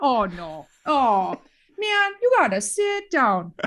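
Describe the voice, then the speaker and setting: With a Minnesotan accent, a woman speaks in a high voice that swings very widely in pitch. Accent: Minnesota. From Minnesota, US Upper Midwest. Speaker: former teacher turned educator. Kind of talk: casual chat.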